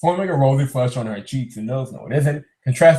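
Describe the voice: Ordinary pitch variation in plain reading aloud, set against a quiet background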